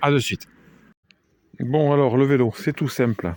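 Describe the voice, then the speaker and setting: The man's voice sits fairly high. The sound is dry and close, with no echo. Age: 50s. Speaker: amateur video maker. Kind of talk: casual product show-and-tell. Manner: hesitant, many fillers.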